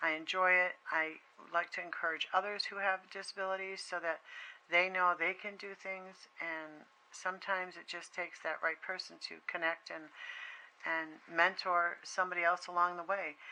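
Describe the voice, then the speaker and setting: In an American accent, a woman talks with monotone, flat intonation and a bright, sharp tone, her loudness swinging widely. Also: medium pitch for a woman. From Massachusetts, US. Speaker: craft video creator. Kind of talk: product flip-through tutorial. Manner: slow; halting, many fillers.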